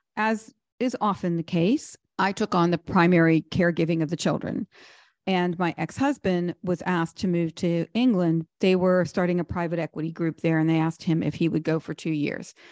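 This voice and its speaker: An unremarkable speaking voice from a woman with an American accent, fairly low pitch, ordinary pitch variation, moderate pace, and a dry, close sound with no echo against a quiet background. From Pittsburgh, US. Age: 60s. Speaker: wealth manager and author. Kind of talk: interview.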